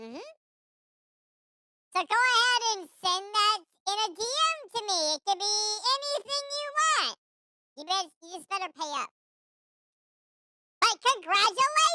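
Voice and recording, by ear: A woman in a squeaky, put-on character voice pitches extremely high with very wide pitch swings and big swings in loudness, at a moderate pace with long, frequent pauses, in a dry, close sound with no echo.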